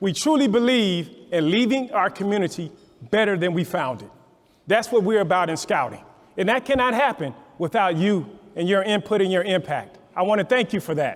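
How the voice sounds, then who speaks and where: A man with a high voice speaks at a moderate pace, his tone animated and his intonation lively. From Louisiana. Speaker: scouting council executive. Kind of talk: speech at a fundraising breakfast.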